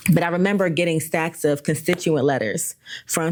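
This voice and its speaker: Using fairly even intonation, a woman speaks at a fairly quick pace. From Philadelphia, US. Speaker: formerly incarcerated community advocate. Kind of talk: podcast interview.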